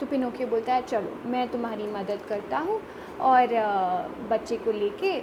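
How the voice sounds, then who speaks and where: A high-pitched woman speaks with long, frequent pauses. Noticeable background noise is present. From Mangalore, Karnataka, India. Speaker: storyteller. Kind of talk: children's story narration.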